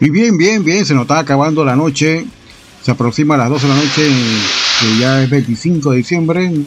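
A man's fairly high voice, relaxed and upbeat in tone, at a moderate pace with ordinary pitch variation and very even loudness, with noticeable background noise. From Panama. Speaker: online radio host. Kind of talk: radio DJ patter, casual chatty show-host talk introducing songs and greeting listeners. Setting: radio studio booth. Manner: relaxed, friendly, upbeat radio-host delivery with laughs.

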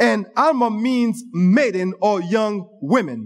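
A man speaks in an animated tone at a high pitch. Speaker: preacher. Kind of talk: sermon. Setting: church. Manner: animated, call-and-response style, interacting with congregation; teaching, pausing and repeating phrases.

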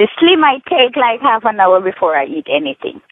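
A woman with a Jamaican accent speaks at a fairly slow pace with lively intonation. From Jamaica, Negril, Hanover. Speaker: caller giving product testimonial. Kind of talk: testimony.

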